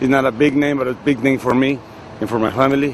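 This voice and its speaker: A man with a strong Mexican accent at a fairly quick pace, with noticeable background noise. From Mexico, Tijuana. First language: Spanish. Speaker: pro wrestler. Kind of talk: interview. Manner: halting.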